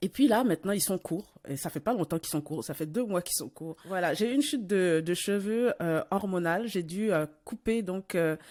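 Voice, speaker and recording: A woman with a medium pitch and lively intonation, at a moderate pace with hardly any pauses. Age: 40s. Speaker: podcast host. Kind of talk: casual interview conversation. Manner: hesitant, many fillers and repetitions.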